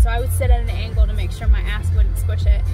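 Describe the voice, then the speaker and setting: Loud music plays in the background of this dry recording with no echo. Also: woman. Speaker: vlogger. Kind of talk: casual vlog talk. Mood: chatty, lightly humorous. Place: car. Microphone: phone near.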